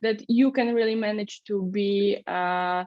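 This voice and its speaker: Speaking at a fairly slow pace in a Polish accent, a woman varies her pitch an ordinary amount. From Poland. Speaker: startup founder. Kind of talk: interview. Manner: halting.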